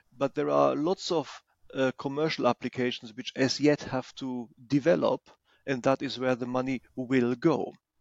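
The speaker has a German accent and fairly even intonation. The pace is moderate. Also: man, medium pitch for a man. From Germany. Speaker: former equity analyst. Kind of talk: casual chat.

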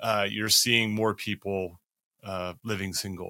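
A man's bright, sharp tone with an American accent. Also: very clean recording, silent background. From United States. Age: 50s. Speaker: professor and podcast host. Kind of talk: interview conversation.

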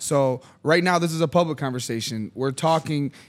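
A man's ordinary speaking voice at a moderate pace, with ordinary pitch variation, on a very clean recording with a silent background. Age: 30s. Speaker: media company founder and podcast host. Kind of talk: casual chat. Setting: studio.

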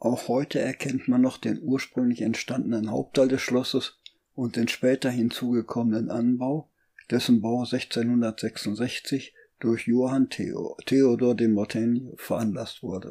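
A man talks at a very slow pace with a dark, mellow tone. His intonation stays monotone and flat. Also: medium pitch for a man. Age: 70s. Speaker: podcaster. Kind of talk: scripted narration.

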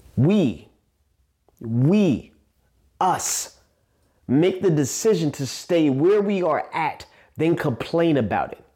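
In a New York accent, a dark, mellow voice speaks at a very slow pace with lively intonation and long, frequent pauses on a very clean recording with a silent background. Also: man. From Staten Island, New York. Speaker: podcast host, motivational speaker. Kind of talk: motivational monologue.

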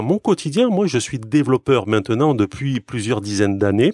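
A man's medium-pitched voice with very wide pitch swings, in a very clean recording with a silent background and a dry, close sound with no echo. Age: 40s. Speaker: software developer. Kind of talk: casual chat.

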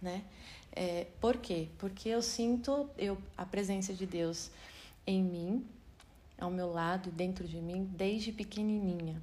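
A woman speaks at a very slow pace in a medium pitch, her somewhat breathy voice dark and mellow in tone, with ordinary pitch variation and audible room echo. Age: 40s. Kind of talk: Bible study talk. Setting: video recording. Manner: halting.

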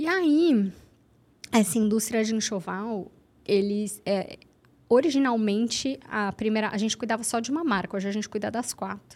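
On a very clean recording with a silent background, a woman in a normal speaking voice talks at a moderate pace, her fairly high pitch showing ordinary pitch variation. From Santos, São Paulo state, Brazil. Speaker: journalist and social media marketing entrepreneur. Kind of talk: casual podcast conversation.

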